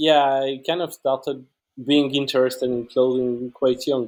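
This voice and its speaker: With a dark, mellow tone and medium pitch, a man speaks fairly slowly using fairly even intonation. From France and Switzerland. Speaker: clothing enthusiast. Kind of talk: casual chat.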